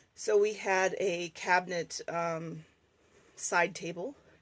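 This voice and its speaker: Noticeable background noise beneath a woman's fairly even intonation at a medium pitch. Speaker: bus owner selling converted school bus; artist. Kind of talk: casual talk to camera, walkthrough tour. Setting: outdoors, road noise.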